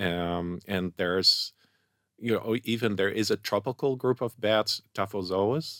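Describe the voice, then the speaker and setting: In a very clean recording with a silent background and a dry, close sound with no echo, a man with a Dutch accent talks at a fairly slow pace, his fairly low voice showing ordinary pitch variation. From Netherlands. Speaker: scientific researcher. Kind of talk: interview. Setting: studio.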